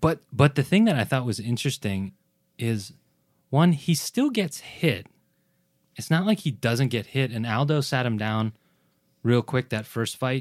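A man at medium pitch speaks with lively intonation and long, frequent pauses. The recording is very clean and dry, close with no echo and a silent background. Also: fairly slow pace. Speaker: podcast host. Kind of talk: casual chat.

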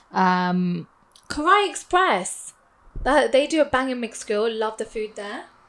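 A woman with a London accent speaks at a fairly slow pace in a fairly high voice, with very wide pitch swings and big swings in loudness. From west London, England (Hounslow/Southall). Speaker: podcast co-host. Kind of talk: casual chat.

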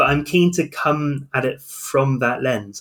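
Recorded very cleanly against a silent background, a man with a southern English accent speaks with ordinary pitch variation. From southern England. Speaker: medieval historian, podcast co-host. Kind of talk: casual chat.

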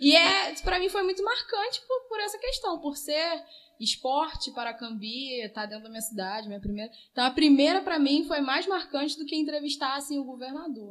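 A woman at a high pitch and moderate pace, with very wide pitch swings and big swings in loudness. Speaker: local news journalist. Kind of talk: casual interview chat.

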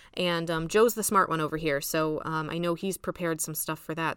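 She talks at a fairly quick pace in a normal speaking voice. This woman's pitch is fairly low. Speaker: podcast host. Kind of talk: casual business podcast chat.

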